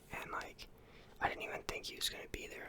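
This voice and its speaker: Someone is whispering. Noticeable background noise runs underneath. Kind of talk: ASMR whispered ramble about his day. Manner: whispered, soft-spoken.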